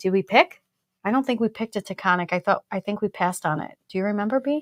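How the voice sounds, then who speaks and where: At a very fast pace, a woman talks with an American accent, medium pitch and ordinary pitch variation. The sound is dry and close, with no echo. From Brooklyn, New York. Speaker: whiskey show co-host. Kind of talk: casual live-stream tasting chat. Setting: live stream.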